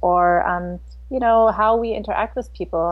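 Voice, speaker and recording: At a fairly slow pace, a woman talks in an American accent. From US Midwest, St. Louis, Missouri. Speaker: lawyer and intercultural consultant. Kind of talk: interview.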